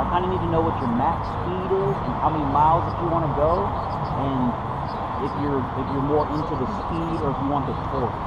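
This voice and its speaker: A man's fairly fast speech comes through heavy background noise. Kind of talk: casual conversation. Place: street.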